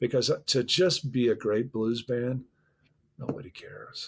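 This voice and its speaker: With an American accent, a man speaks at a medium pitch and a fairly slow pace, somewhat breathy and with long, frequent pauses. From US Midwest, Chicago North Shore. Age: 60s. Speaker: musician and record producer. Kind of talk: interview conversation. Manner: halting, many repeated words.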